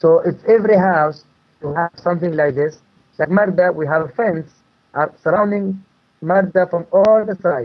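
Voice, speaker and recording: A man with an Arabic accent, high-pitched for a man, with ordinary pitch variation at a moderate pace. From Palestine, West Bank village. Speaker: permaculture farmer. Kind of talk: interview. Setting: phone call. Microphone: poor phone line, digital interference.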